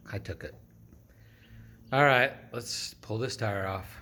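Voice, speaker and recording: Speaking at a fairly slow pace with long, frequent pauses, a man with a fairly low pitch, ordinary pitch variation and a bright, sharp tone is heard amid audible room echo. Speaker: DIY garage vlogger. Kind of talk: casual vlog narration. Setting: home garage.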